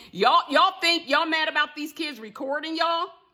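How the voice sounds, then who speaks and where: A woman uses a raised, projected voice with a bright, sharp tone. Her pitch is extremely high and her pace moderate. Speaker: motivational speaker. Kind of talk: direct-to-camera vlog rant. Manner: loud; animated.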